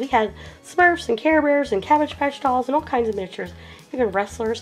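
A woman is speaking. Faint music sits in the background. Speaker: toy collector vlogger. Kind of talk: casual vlog chat. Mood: excited, nostalgic. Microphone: camera far.

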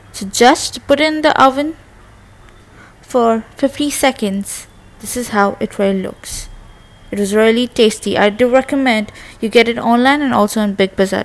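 A woman speaks at a moderate pace with ordinary pitch variation, big swings in loudness, and long, frequent pauses. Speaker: home food reviewer. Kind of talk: casual product review vlog. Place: kitchen. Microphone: phone near.

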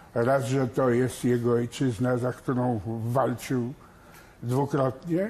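Speaking at a very slow pace, a man has a dark, mellow tone. His voice is somewhat breathy. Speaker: son of executed admiral. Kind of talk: TV studio interview. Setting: TV studio.

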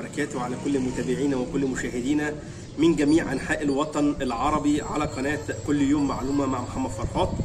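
A man speaks at a moderate pace in a monotone, flat intonation. Noticeable background noise runs underneath. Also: fairly high pitch for a man. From Egypt. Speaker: YouTuber and dog trainer; YouTuber, dog trainer. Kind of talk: casual vlog monologue.

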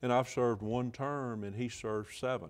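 A man speaks with an Alabama accent. The background is quiet. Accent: Southern US (Alabama). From northwest Alabama. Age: 60s. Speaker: state senator and physician; state senator. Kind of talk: political interview. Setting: TV studio. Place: studio. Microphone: lapel.

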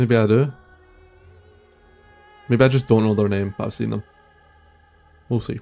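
Over faint background music, a man talks at a moderate pace with fairly even intonation and long, frequent pauses. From Scotland. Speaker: reaction content creator. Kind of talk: casual reaction commentary to camera. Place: home room. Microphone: studio mic.

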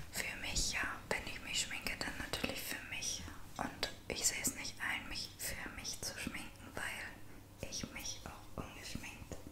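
A woman whispers her words at a very slow pace. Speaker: ASMR vlogger. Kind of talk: ASMR makeup routine talking to camera. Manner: soft, whispering. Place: home room. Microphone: studio mic.

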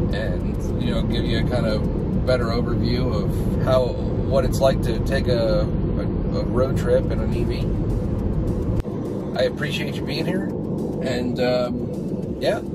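Man speaking at a fairly slow pace over music in the background. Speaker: driver vlogger. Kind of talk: casual vlog chat. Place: car. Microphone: phone near.

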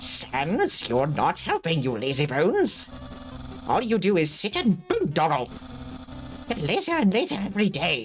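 Clear background noise sits behind a put-on character voice at a middle pitch and a moderate pace. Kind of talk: theatrical, comedic. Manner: goofy, villainous, scolding.

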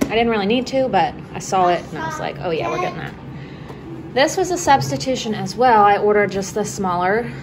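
Noticeable background noise runs under this recording. A woman speaks at a very fast pace. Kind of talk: casual vlog chat. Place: home room. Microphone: phone near.

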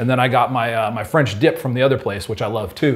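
On a very clean recording with a silent background, a man with a medium-pitched, somewhat breathy voice talks at a very fast pace in an animated tone. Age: 40s. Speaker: homebrewing retailer video host. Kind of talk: casual chat.

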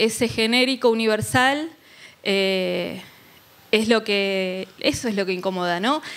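A woman's fairly high voice moves at a very slow pace. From Argentina. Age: 40s. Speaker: journalist and legislative official; journalist. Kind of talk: panel discussion. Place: hall. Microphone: handheld.

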